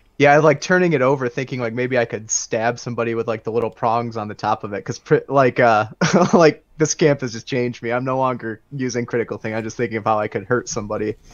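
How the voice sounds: A man talks at a fast pace with few pauses. His medium pitch shows ordinary variation.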